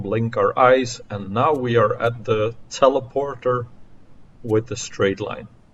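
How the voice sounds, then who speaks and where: A man's somewhat breathy voice at a medium pitch, very slow in pace, with fairly even intonation. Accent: non-native. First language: not English. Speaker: video game streamer. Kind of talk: gameplay commentary.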